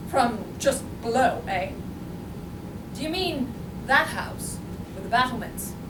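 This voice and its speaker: A woman does a gruff, high-pitched put-on character voice, speaking fairly slowly with long, frequent pauses and big swings in loudness. There is loud background noise and a slight echo. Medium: stage play. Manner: gruff, curt.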